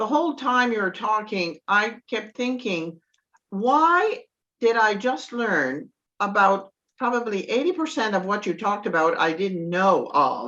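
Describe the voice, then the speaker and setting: A woman speaks at a fairly slow pace in a fairly high, bright, sharp voice. Her pitch swings very widely. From Nova Scotia, Acadian. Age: 70s. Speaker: participant. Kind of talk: group discussion.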